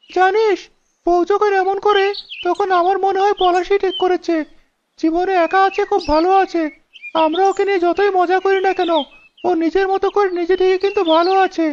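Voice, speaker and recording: A woman's cartoonish character voice at an extremely high pitch, flat and monotone, at a moderate pace with very even loudness. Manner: exasperated.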